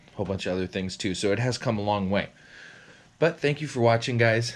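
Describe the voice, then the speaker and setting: Talking at a very fast pace, a man uses ordinary pitch variation. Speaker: hobby vlogger. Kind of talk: casual vlog chat. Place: garage. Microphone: phone near.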